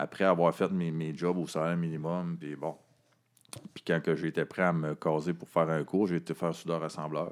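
A man speaks in a Quebec accent with a very deep, low pitch. His intonation stays flat and monotone. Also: moderate pace. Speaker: director of a homeless shelter organization. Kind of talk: casual interview. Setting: office.

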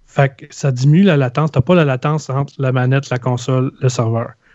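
In a Quebec accent, a man speaks at medium pitch and a moderate pace with fairly even intonation, recorded dry and close with no echo. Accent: Québécois French. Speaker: video game podcaster. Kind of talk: casual chat.

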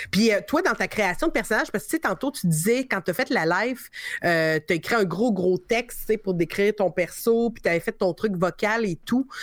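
Using a normal speaking voice, a woman of medium pitch talks at a moderate pace with lively intonation. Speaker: podcast host. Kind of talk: casual chat.

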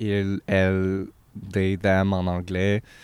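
Delivered at a very slow pace, a man's fairly low voice holds a monotone, flat intonation. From Quebec, Abitibi (Amos). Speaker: podcast guest. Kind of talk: casual chat.

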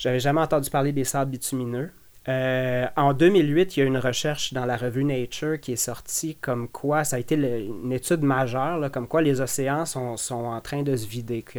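A man with an ordinary speaking voice and medium pitch talks at a moderate pace with fairly even intonation and hardly any pauses. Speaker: ex-environmental activist. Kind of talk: interview.

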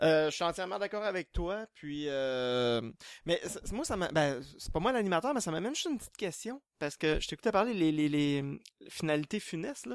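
The recording is very clean, with a silent background. A man speaks at a high pitch with very wide pitch swings. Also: moderate pace, dry, close sound with no echo. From Quebec. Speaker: horror novelist. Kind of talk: panel discussion.

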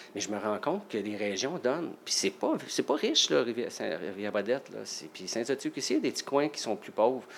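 A man with a normal speaking voice talks at a moderate pace and medium pitch, his intonation lively. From Quebec, Salaberry-de-Valleyfield. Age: 50s. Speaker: nurse and part-time firefighter. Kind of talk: casual interview.

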